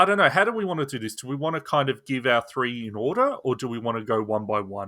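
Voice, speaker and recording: Speaking at a very fast pace with hardly any pauses, a man with an Australian accent uses a medium pitch and lively intonation. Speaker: gaming podcast host. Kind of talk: casual chat.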